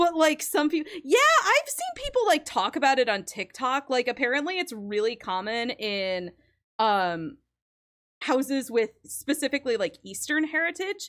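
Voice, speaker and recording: A woman speaks at a moderate pace with a high pitch. Her pitch swings very widely. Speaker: VTuber streamer. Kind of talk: casual chat. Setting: live stream.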